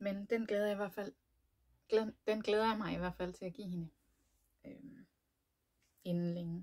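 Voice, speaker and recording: The speech moves at a fairly slow pace with long, frequent pauses, big swings in loudness and ordinary pitch variation. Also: woman, medium pitch for a woman. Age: 30s. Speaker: knitting podcaster. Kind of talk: casual chat. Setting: home room, door locked. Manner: hesitant, many fillers.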